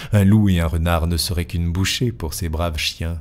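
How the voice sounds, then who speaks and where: Recorded very cleanly against a silent background, a man talks in a somewhat breathy voice with ordinary pitch variation. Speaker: audiobook narrator. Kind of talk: dramatic literary narration of a Gothic tale, storm and omens. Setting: home studio with microphone. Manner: tense, ominous build-up as the storm and ravens gather; measured, expressive storyteller pacing.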